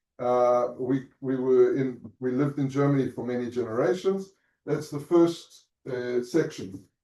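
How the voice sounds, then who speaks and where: A man speaks with a South African accent at a fairly slow pace. His medium pitch carries a dark, mellow tone. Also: ordinary pitch variation. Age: 50s. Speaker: Holocaust family history speaker. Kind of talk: talk to students. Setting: lecture room with Zoom audience. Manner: halting.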